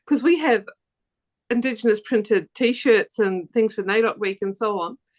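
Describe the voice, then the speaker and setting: With a New Zealand accent, a woman speaks at a fairly high pitch. Her intonation is lively and her pace fairly slow. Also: dry, close sound with no echo. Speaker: quilter. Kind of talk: panel discussion. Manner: halting, many repetitions.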